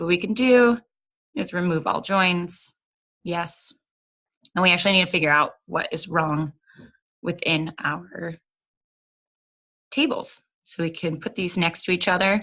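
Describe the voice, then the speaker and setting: A woman speaks with a bright, sharp tone and ordinary pitch variation. Her delivery has long, frequent pauses. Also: fairly low pitch for a woman, fairly slow pace. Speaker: software tutorial presenter. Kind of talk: screen-recorded tutorial.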